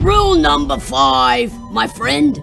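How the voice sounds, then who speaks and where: Over clear music in the background, a man puts on a growling character voice at a high pitch. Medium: read story. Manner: casual, gruff.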